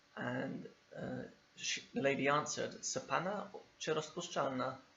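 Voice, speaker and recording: A man speaks with a London accent at medium pitch and a moderate pace. Vocal fry runs through his voice. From England, East London. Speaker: English teacher. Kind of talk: video lesson.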